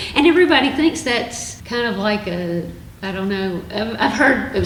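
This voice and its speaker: Noticeable background noise and audible room echo surround a speaker with an American accent talking at a moderate pace. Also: woman. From US South (Alabama). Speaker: retired university staff, researcher. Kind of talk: casual chat.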